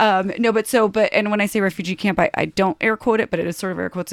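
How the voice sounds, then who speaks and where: A woman with an American accent, medium pitch and an animated tone, very fast, on a very clean recording with a silent background and a dry, close sound with no echo. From US, Polish immigrant family (came at age two). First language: Polish. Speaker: TV producer. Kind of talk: casual chat.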